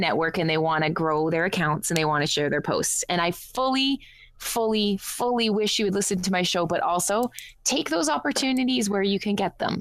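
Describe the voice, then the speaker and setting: A woman with a Canadian accent and a normal speaking voice, medium in pitch, with lively intonation and a moderate pace. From Canada. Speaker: online radio show host. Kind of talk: casual chat.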